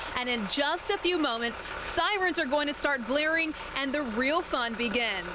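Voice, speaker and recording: Lively intonation marks a woman's speech, with noticeable background noise behind it. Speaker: TV news reporter and anchor. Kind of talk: live field news report. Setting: outdoors.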